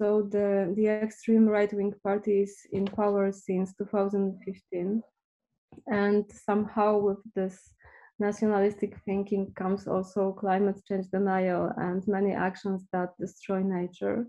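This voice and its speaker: In a Polish accent, a woman speaks at medium pitch and a fairly slow pace, her intonation monotone and flat, her tone dark and mellow. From Poland. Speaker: visual artist and activist. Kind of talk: artist presentation in interview.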